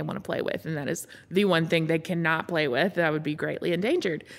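In a Southern US accent, a woman with a fairly low pitch and vocal fry talks at a fairly quick pace with fairly even intonation, on a very clean recording with a silent background. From US South, Montgomery, Alabama. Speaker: cancer survivor. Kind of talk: testimony. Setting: podcast recording.

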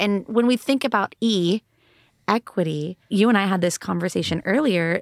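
With an American accent, an unremarkable speaking voice moves at a moderate pace in a dry, close sound with no echo, on a very clean recording with a silent background. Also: woman. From Texas, Austin area. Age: 30s. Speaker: school board candidate. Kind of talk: interview.

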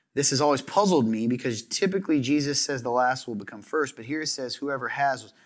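Someone with an American accent talks at a fairly quick pace in a very clean recording with a silent background. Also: man. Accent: slight Southern, slips in and out. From US South. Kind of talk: casual chat; reading scripture aloud. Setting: studio.

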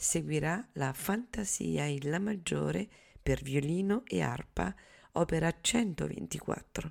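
The woman speaks at a very slow pace. The recording is very clean, with a silent background. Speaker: radio host. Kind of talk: radio announcement, scripted programme introduction. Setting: radio studio broadcast. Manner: formal, measured, even-paced.

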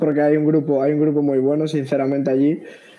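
Fairly quick delivery from a man with a fairly high pitch. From Spain, Galicia. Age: young. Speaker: taekwondo athlete. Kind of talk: interview. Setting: video call from home. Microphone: delay on connection.

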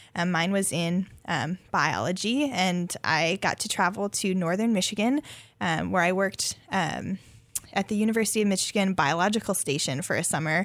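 In an American accent, a woman talks at a moderate pace and medium pitch, with ordinary pitch variation and very even loudness. Hers is an unremarkable speaking voice, on a very clean recording with a silent background. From US Upper Midwest, central North Dakota. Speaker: graduate student researcher in botany. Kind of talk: radio interview. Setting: radio studio.

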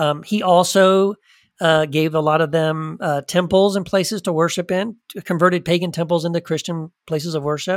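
A man speaks with a high pitch and fairly even intonation. The recording is very clean, with a silent background. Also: dry, close sound with no echo. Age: 50s. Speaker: author and former minister. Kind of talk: interview. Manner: halting, with frequent fillers and restarts.

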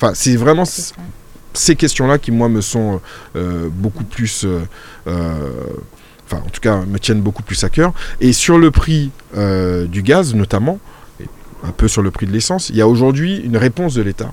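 Speaking at a fairly slow pace, a man at medium pitch leaves long, frequent pauses. His pitch swings very widely, and noticeable background noise is present. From Martinique. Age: 40s. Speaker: local politician. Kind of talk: radio interview. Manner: hesitant, many fillers.

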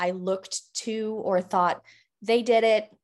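A very slow delivery from a woman in an American accent. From Colorado, US. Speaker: leadership coach. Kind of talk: casual interview.

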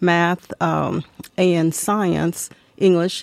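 A woman speaks with a Tennessee accent. Her pitch is fairly low and her intonation fairly even. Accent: Southern US (Tennessee). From US South, Tennessee. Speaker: local historian, co-host. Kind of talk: interview. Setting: studio.

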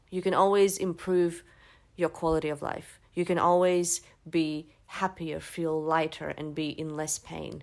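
Her fairly low pitch held in monotone, flat intonation, a woman speaks at a moderate pace. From Latvia. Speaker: naturopath. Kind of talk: casual chat.

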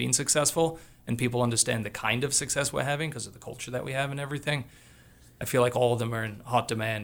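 A man talks at a very fast pace with medium pitch. Vocal fry runs through his voice. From Australia. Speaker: college soccer coach. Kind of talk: casual chat. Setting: studio. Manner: animated.

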